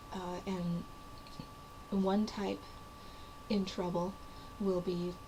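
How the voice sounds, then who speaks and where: Medium-pitched female speech with audible room echo, noticeable background noise behind it. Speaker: writer / vlogger. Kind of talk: casual talk to camera. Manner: hesitant, many fillers.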